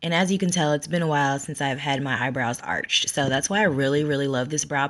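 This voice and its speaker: A woman is speaking. The background is quiet. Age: 30s. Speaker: makeup artist. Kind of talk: tutorial. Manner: casual, chatty.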